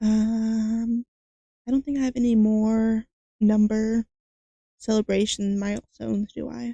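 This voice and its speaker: A somewhat breathy woman with a dark, mellow tone speaks at a fairly slow pace, leaving long, frequent pauses. Her intonation is monotone and flat, and the sound is dry and close with no echo. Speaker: vtuber streamer. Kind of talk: casual live stream chat. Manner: halting, many repetitions and fillers; quiet at the start of a stream.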